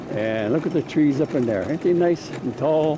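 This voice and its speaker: A man speaks at a moderate pace in a fairly high voice, his intonation lively, with noticeable background noise behind him. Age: 90s. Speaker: amateur video maker. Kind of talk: casual narration while filming. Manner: rambling, conversational.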